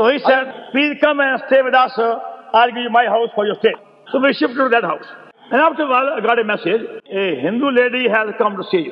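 A man's extremely high-pitched voice at a very fast pace, with noticeable background noise. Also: ordinary pitch variation. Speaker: preacher. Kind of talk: sermon. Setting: poor-quality old recording. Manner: speaks with a stammer.

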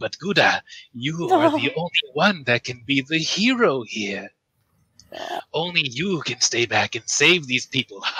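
A man's put-on character voice with very wide pitch swings, in a dry, close sound with no echo. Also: fairly high pitch for a man, moderate pace. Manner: evil, dramatic.

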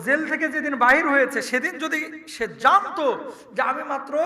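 Over noticeable background noise and audible room echo, a man speaks in a raised, projected voice with an animated tone and ordinary pitch variation. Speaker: Islamic preacher. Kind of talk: sermon.

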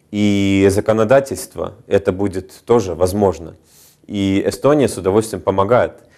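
Against a quiet background, a man with a dark, mellow tone and fairly low pitch speaks at a moderate pace with fairly even intonation. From Estonia. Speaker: business agency regional director. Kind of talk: TV interview. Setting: TV studio. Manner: hesitant, many fillers. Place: studio.

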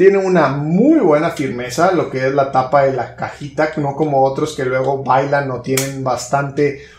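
A man talks at a moderate pace with fairly even intonation and hardly any pauses. Audible room echo and light background noise accompany him. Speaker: tech reviewer. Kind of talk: product review talk. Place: home room.

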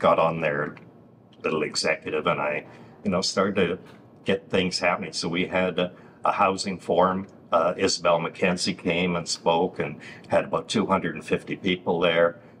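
Very deep, low male voice in a flat monotone over light background noise. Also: moderate pace. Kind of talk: interview answer. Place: studio. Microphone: lapel.

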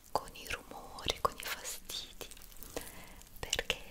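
Very slowly, a woman speaks in a whisper. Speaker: ASMR creator. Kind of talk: soft-spoken ASMR chat to viewers. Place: home room.

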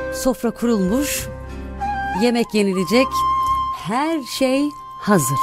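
A woman at a very slow pace with long, frequent pauses, a dry sound with no echo, and clear music in the background. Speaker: radio presenter. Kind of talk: read story. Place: studio. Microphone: studio mic.

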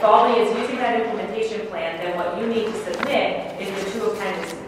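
A woman talks very fast over light background noise, her voice ringing with strong room echo. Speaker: presenter. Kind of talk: meeting explanation. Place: meeting room.

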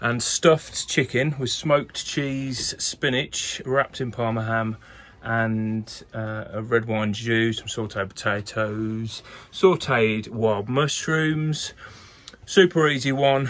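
A man speaks at a very slow pace. His pitch varies in an ordinary way. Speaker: sailing vlogger. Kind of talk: casual vlog chat. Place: boat. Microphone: phone near.

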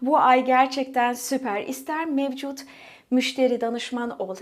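A high-pitched woman at a fairly slow pace. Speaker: essential oil sales consultant. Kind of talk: sales pitch.

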